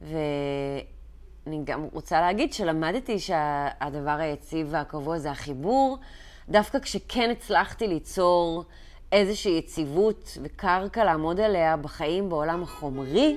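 Very slowly, a woman with a fairly low pitch speaks with lively intonation on a very clean recording with a silent background. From Israel, early childhood in London. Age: 30s. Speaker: meditation and chakra coach. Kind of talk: personal vlog monologue.

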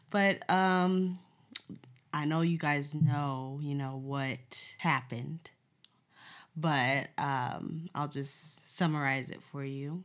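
A woman with a very deep, low pitch speaks very slowly, keeping her intonation fairly even. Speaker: podcast co-host, newborn photographer. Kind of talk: casual chat.

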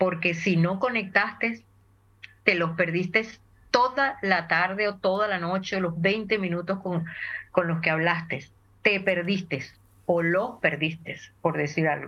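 Bright and sharp in tone, a woman talks at a fairly slow pace with long, frequent pauses. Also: medium pitch for a woman, ordinary pitch variation. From Venezuela (Caracas). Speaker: voice and communication trainer. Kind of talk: interview.

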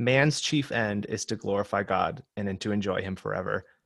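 A man with a normal speaking voice and an American accent talks in a fairly low pitch with ordinary variation, in a very clean recording with a silent background. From Michigan. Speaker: ministry digital director and productivity blogger. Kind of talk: interview.

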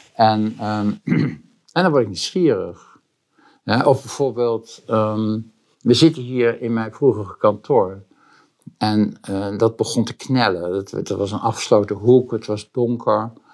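Very slowly, a man talks at a medium pitch. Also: ordinary pitch variation. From Netherlands, Boskoop near Gouda (South Holland). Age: 70s. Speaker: interior shop owner and co-founder. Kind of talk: interview. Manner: halting, many repetitions and fillers.

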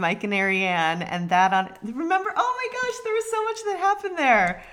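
The pace is moderate. The speaker is a woman. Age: 30s. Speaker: podcast co-host. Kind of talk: casual chat.

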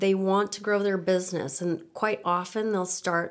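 A woman's medium-pitched, monotone, flat voice with a Midwestern American accent. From Nebraska, US Midwest. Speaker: finance professional. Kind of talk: interview.

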